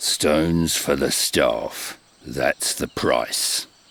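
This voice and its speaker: A man's put-on character voice at a very slow pace. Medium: video game. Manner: terse.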